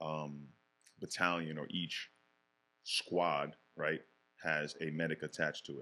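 A man with an American accent, very deep and low in pitch, in a monotone, flat intonation. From Bronx and Yonkers, New York. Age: 40s. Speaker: former police detective. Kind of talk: casual interview chat.

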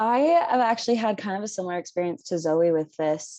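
A woman with an American accent, medium pitch, fairly quick pace and a normal speaking voice. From Philadelphia, US. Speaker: college student. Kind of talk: casual chat.

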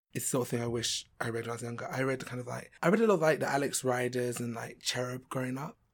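Someone with a London accent talks at a very fast pace. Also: man. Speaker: actor. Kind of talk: casual interview.

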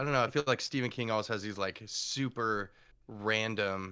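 A bright, sharp voice with an American accent and ordinary pitch variation comes through in a very clean recording with a silent background. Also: man. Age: 30s. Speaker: writer. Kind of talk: casual chat.

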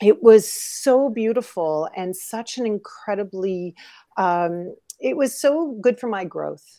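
A woman with a Canadian accent speaks in an ordinary speaking voice, her fairly high pitch carried by lively intonation. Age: 50s. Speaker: model and coach. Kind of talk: interview.

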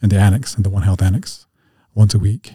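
Somewhat breathy and fairly low, this man's dark, mellow voice carries an American accent and a monotone, flat intonation. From Montana (Northern Cheyenne reservation area). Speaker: recovery coach. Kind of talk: interview. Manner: halting.

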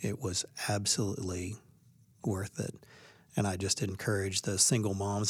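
A man's fairly low, somewhat breathy voice on a very clean recording with a silent background. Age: 50s. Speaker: baseball coach. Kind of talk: interview.

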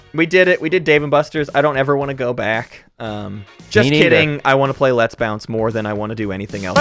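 A man rattles off his words very quickly as music plays underneath. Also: medium pitch for a man, ordinary pitch variation. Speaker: podcast co-host. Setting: podcast recording.

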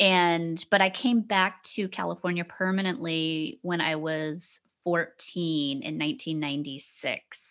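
Delivered in an unremarkable speaking voice with an American accent, the speech runs at a fairly slow pace. There are hardly any pauses, and the pitch varies in an ordinary way. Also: woman, fairly low pitch for a woman. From US South. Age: 30s. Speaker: comedy podcast host. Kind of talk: casual chat.

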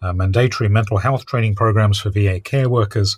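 A man speaks with a somewhat breathy, fairly low voice and ordinary pitch variation, on a very clean recording with a silent background. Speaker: podcast co-host and interviewer. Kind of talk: interview and news discussion.

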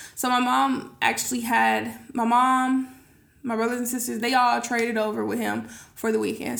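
A woman speaks at a fairly quick pace, with audible echo from the room. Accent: American. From California, Sacramento area. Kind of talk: casual chat.

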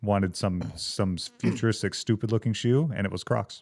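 A normal speaking voice with an American accent, moderate pace and ordinary pitch variation. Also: man. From Georgia, US South. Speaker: suspension company rep, guest. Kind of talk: casual chat.

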